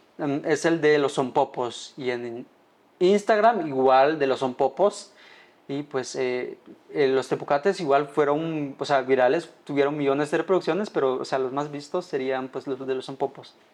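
Fairly high in pitch, a man talks with ordinary pitch variation. His pace is fairly slow. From Guatemala, Baja Verapaz. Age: 20s. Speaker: food content creator. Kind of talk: casual interview. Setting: studio. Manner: hesitant, many fillers.

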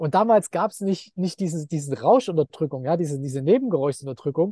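A man speaks in a dark, mellow tone. The sound is dry and close with no echo, over a quiet background. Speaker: entrepreneur and investor. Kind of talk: interview.

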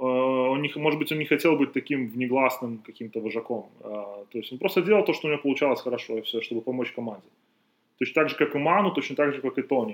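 A man talks at a very fast pace. His pitch is fairly high, with ordinary pitch variation. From Belarus. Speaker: basketball podcast host and trainer. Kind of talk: casual chat. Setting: outdoors in the sun.

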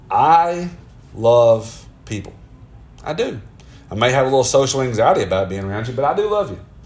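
A man with a Southern US accent speaks at a fairly quick pace and medium pitch, leaving long, frequent pauses. His pitch swings very widely, and the room has an audible echo. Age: 30s. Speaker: podcaster. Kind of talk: casual monologue. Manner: conversational.

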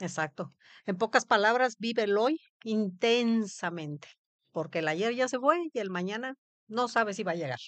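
Recorded dry and close with no echo against a quiet background, a woman speaks at a moderate pace with fairly high pitch and lively intonation. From Mexico, Veracruz. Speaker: cancer survivor. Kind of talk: testimony.

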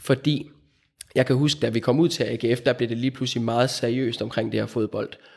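A man's medium-pitched voice, a plain, everyday voice, at a moderate pace with fairly even intonation. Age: 30s. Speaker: physiotherapist. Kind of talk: interview.

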